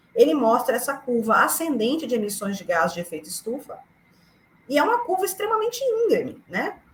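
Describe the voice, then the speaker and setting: A woman at a high pitch and fairly quick pace, with very wide pitch swings over noticeable background noise. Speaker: climate activist. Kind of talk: lecture. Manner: fast; animated.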